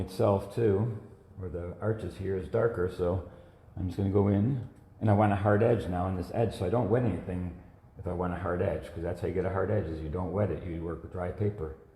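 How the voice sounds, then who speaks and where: Noticeable background noise and audible room echo around fairly quick speech. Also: man. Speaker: watercolor artist. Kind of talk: live painting demonstration. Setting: Facebook live stream. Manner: casual, conversational.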